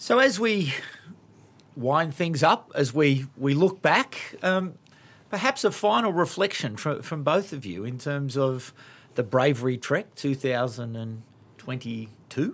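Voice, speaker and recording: A man with an Australian accent, fairly high in pitch, at a fairly slow pace with lively intonation and long, frequent pauses. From Sydney, Australia. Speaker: podcast host. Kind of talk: casual chat. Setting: studio.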